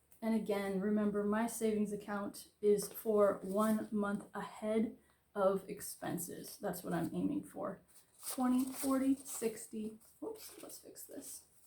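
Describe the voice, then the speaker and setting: A woman with an American accent speaks at a fairly slow pace in a fairly high pitch, somewhat breathy with a dark, mellow tone. Her intonation is fairly even, with big swings in loudness. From Florida. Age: 30s. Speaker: budgeting vlogger. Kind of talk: casual tutorial.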